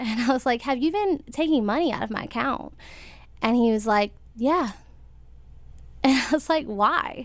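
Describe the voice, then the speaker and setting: Lively intonation marks this American accent. The pace is moderate, with long, frequent pauses. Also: woman, high pitch for a woman. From US South, rural North Carolina. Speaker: interview guest. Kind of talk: personal testimony. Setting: studio with live audience.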